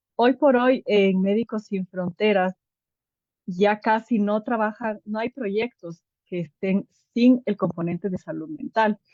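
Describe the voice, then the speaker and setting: A woman speaks in a dark, mellow tone at a very slow pace, with ordinary pitch variation. The sound is dry and close, with no echo. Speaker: clinical psychologist with a humanitarian medical NGO. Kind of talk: online workshop lecture. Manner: hesitant fillers.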